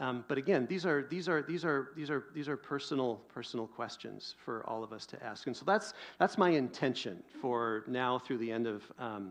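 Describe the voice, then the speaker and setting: A man with an American accent has an ordinary speaking voice, medium in pitch, with lively intonation. He keeps a moderate pace with hardly any pauses. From US Pacific Northwest. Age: 50s. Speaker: pastor. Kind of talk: sermon.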